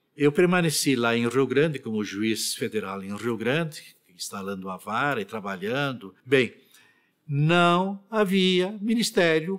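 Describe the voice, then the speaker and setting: A man talks at a very slow pace with very wide pitch swings. The recording is very clean, with a silent background. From Rio Grande do Sul, Brazil. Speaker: retired federal appellate judge. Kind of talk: oral history interview answer.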